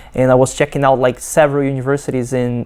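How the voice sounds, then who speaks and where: Her voice has a dark, mellow tone and very deep, low pitch, with a Brazilian Portuguese accent. This woman keeps her intonation fairly even. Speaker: PhD student. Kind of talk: testimony. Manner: halting, many fillers and restarts.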